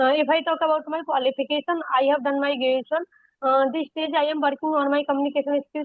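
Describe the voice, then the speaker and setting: Speaking at a very fast pace, a woman with an Indian accent keeps her high voice in a monotone, flat intonation. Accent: Indian (Hindi) English. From India, Uttar Pradesh (Aligarh). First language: Hindi. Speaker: homemaker, English-learning YouTuber. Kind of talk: casual conversation practice. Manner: halting, basic English.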